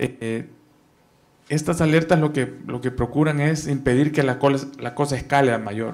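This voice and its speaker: A man's fairly high voice, an ordinary speaking voice, with fairly even intonation, moderate pace and a quiet background. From El Salvador. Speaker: investigative journalist. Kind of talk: panel talk. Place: meeting room. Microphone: handheld.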